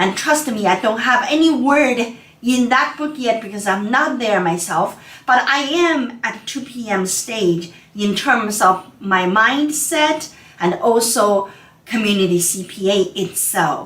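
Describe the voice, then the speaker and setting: With a non-native accent, a woman with a fairly high pitch and lively intonation speaks at a fairly slow pace over noticeable background noise. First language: not English. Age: 50s. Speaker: accountant. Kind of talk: webinar presentation. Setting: online webinar. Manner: casual, conversational.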